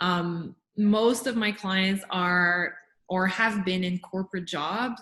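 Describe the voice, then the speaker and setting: This is a woman speaking with a Montreal accent. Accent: French Canadian (Montreal). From Quebec, Montreal. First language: French. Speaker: life and business coach. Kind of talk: interview.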